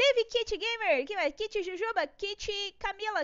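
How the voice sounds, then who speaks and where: A woman's extremely high-pitched voice moves at a fairly slow pace with ordinary pitch variation. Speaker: art YouTuber teaching drawing. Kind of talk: live-stream drawing tutorial. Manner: animated.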